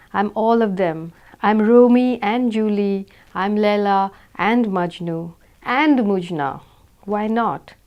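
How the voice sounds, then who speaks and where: A woman speaks with an Indian accent at a medium pitch. Her pitch varies in an ordinary way. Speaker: author reading own novel. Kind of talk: audiobook reading.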